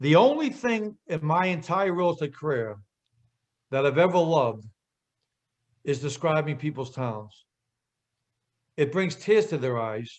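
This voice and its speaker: With a Boston accent, a man speaks in an animated tone with lively intonation and a fairly high pitch. His pace is fairly slow, broken by long, frequent pauses. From Boston area, US Northeast. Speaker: real estate marketing speaker. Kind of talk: webinar presentation. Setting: group call.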